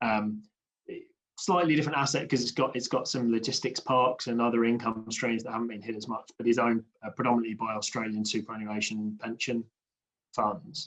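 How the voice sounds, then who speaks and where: Speaking fairly quickly, the man talks with a British accent. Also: medium pitch for a man, ordinary pitch variation. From UK. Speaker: infrastructure industry panelist. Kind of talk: panel discussion.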